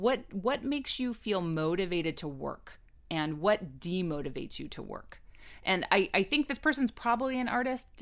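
A woman's medium-pitched voice at a moderate pace with very wide pitch swings, on a very clean recording with a silent background. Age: 40s. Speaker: professional advice guest. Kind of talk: casual chat.

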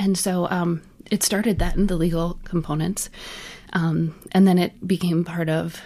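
A woman with an American accent has a plain, everyday voice. Her pitch is fairly low, her pace moderate and her intonation fairly even. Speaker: accessibility consultant. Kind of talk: casual chat.

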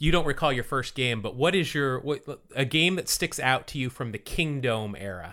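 A man with an American accent and a bright, sharp tone speaks at medium pitch and a moderate pace with lively intonation, on a very clean recording with a silent background. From US West (Utah). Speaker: baseball podcast co-host. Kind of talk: casual chat. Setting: studio.

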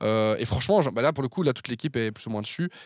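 In a very clean recording with a silent background, a man talks at a medium pitch in a normal speaking voice. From Belgium, Verviers area (Wallonia). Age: 20s. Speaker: communication agency founder. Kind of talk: casual interview.

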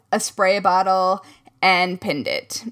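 Bright and sharp in tone, a woman's voice shows ordinary pitch variation. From US Midwest. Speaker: crafting podcast co-host. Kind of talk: casual chat.

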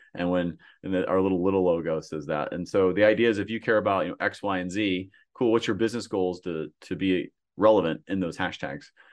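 Over a quiet background, a man with a very deep, low pitch talks at a very fast pace with fairly even intonation. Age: 40s. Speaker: startup founder and marketing agency head. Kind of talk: podcast interview. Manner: repetitive false starts.

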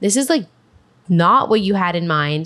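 Against a quiet background, a woman with an unremarkable speaking voice and a fairly low pitch talks at a moderate pace. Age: 30s. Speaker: podcast host and cookbook author. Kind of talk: casual chat.

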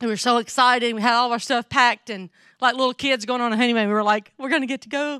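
In a strong Southern US accent, a woman speaks very fast with a high pitch, a bright, sharp tone and fairly even intonation, her loudness swinging widely. The sound is dry and close with no echo, in a very clean recording with a silent background. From North Mississippi, US South. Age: 50s. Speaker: missionary speaker. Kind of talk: sermon. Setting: church.

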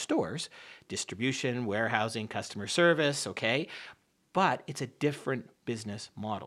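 Recorded very cleanly with a silent background, a man speaks with lively intonation and a slight Canadian accent. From Canada and upstate New York. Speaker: business school dean. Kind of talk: radio interview.

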